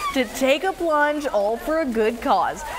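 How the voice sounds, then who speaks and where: A woman with an American accent, high pitch and lively intonation at a moderate pace, with noticeable background noise. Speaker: TV news anchor. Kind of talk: TV news anchor read.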